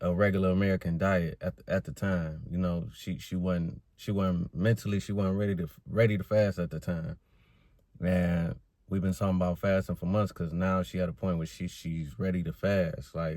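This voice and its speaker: In a very clean recording with a silent background, a man with a very deep, low pitch and a dark, mellow tone speaks at a moderate pace. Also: fairly even intonation. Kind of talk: casual vlog talk. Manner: halting, with restarts.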